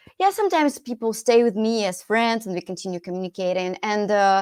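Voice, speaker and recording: A woman with a Russian accent speaks fairly quickly at a medium pitch on a very clean recording with a silent background. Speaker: English teacher and podcast host. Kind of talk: podcast interview.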